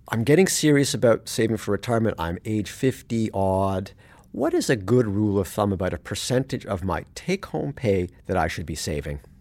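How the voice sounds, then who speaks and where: This is a plain, everyday voice with a Canadian accent and lively intonation, moving at a fairly quick pace with hardly any pauses. The recording is very clean against a silent background. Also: man, fairly low pitch for a man. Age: 50s. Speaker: personal finance journalist and podcast host. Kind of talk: interview. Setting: studio.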